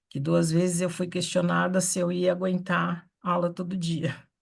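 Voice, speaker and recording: Over a quiet background, there is an unremarkable speaking voice whose pitch varies in an ordinary way. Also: woman. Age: 60s. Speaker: theatre artist. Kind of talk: online meeting discussion. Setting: video call from home office.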